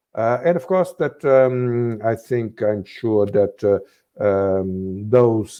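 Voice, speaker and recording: A man in a Portuguese accent, fairly low in pitch, very slow, with ordinary pitch variation. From Portugal, Azores. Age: 60s. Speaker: former politician, think tank director. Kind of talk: interview. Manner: halting, many fillers.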